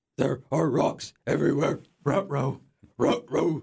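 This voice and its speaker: A man's put-on character voice at a medium pitch. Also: fairly slow pace. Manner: comic, doggy.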